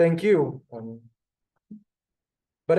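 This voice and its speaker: This voice has a dark, mellow tone and ordinary pitch variation, with an Israeli accent. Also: man. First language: Hebrew. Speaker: Hebrew teacher. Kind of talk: language class. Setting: classroom with Zoom. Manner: halting, many fillers.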